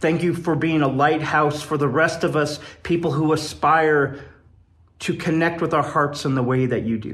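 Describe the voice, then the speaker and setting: A man with an American accent, fairly high pitch and fairly even intonation, at a moderate pace with audible room echo. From Wyoming, US. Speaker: poet and improv comedian. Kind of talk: recorded personal message.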